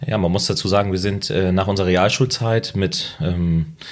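Speaking at a fairly slow pace, a man has a very deep, low pitch and ordinary pitch variation. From northern Germany. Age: 20s. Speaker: loan broker. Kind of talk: interview. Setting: in person.

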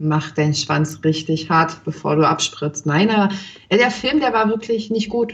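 A woman speaks at a fairly low pitch and a fairly slow pace, somewhat breathy. Her intonation is lively and her loudness very even. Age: 30s. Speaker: cam performer, podcast co-host. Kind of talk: casual chat.

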